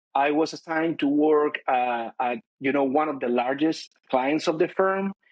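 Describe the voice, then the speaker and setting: A man in a Chilean accent, fairly high-pitched with ordinary pitch variation, at a moderate pace. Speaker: corporate finance director. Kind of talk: interview. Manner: hesitant, many fillers.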